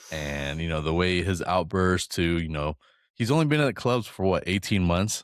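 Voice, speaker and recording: On a very clean recording with a silent background, a man with a very deep, low pitch speaks at a moderate pace with lively intonation. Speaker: football podcast co-host. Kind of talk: casual chat. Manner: halting, self-interrupting.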